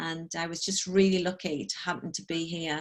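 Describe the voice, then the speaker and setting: Against a quiet background, a woman with a slight northeast English accent speaks at a fairly low pitch and a moderate pace. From northeast England, Sunderland. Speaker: corporate trainer and coach. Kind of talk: online talk. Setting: video call. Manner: casual, filler-heavy.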